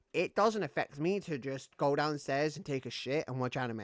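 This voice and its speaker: Here a man with a British accent speaks at a fairly high pitch and fairly quick pace, with ordinary pitch variation. The recording is very clean with a silent background, and the sound is dry and close with no echo. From Britain. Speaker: gaming streamer. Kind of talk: casual live-stream gaming chat.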